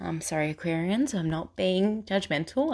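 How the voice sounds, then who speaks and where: Here a woman speaks at a medium pitch and a moderate pace. The recording is very clean, with a silent background. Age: 20s. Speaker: spiritual podcaster. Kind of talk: personal storytelling monologue.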